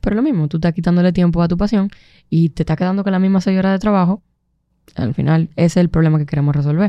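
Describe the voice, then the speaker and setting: Her voice is fairly low, with a dark, mellow tone and ordinary pitch variation. The woman speaks at a very fast pace. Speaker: entrepreneur and producer. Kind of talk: casual chat.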